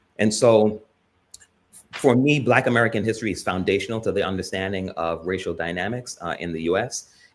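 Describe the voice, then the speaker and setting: Over a silent background in a very clean recording, a man with a plain, everyday voice and a fairly low pitch talks at a fairly quick pace with ordinary pitch variation. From US, born in Jamaica, emigrated as a young child. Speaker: panelist. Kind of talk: panel discussion.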